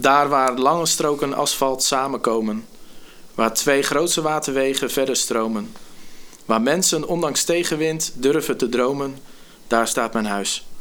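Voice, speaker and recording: This man uses an ordinary speaking voice, talking fairly slowly with ordinary pitch variation. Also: fairly high pitch for a man. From Netherlands, Gorinchem. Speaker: youth care worker and spoken word poet. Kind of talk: casual chat.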